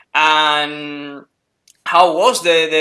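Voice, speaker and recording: A man's fairly high voice with a Spanish accent, bright and sharp in tone, fairly even in intonation, with audible room echo. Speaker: wrestling interviewer. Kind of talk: interview. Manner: halting, many fillers.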